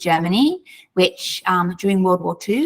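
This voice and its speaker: A woman with an Australian accent, medium pitch and a moderate pace. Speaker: author. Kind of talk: interview.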